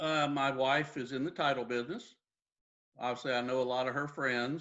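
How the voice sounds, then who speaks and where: Speaking in a Texan accent, a man keeps a medium pitch, a moderate pace and fairly even intonation. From Texas, Dallas. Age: 60s. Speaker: real estate agent. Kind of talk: interview.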